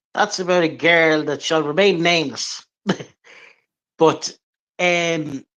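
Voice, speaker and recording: A man in an Irish accent, fairly high in pitch, with a bright, sharp tone. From Ireland, Drogheda, County Louth. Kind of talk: interview.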